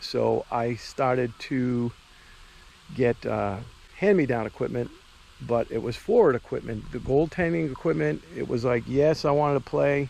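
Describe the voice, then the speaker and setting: A man talks in a Boston accent. His pitch is medium and his pace moderate. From US Northeast, Boston. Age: 50s. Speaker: amateur hockey goaltender and vlogger. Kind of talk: casual vlog talk. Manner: conversational with frequent fillers.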